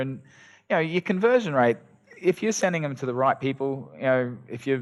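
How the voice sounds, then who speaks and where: The pace runs fairly quick. The words come with an Australian accent. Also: man. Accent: Australian, noticeable to Americans. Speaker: SEO agency owner. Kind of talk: podcast interview. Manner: casual, many fillers.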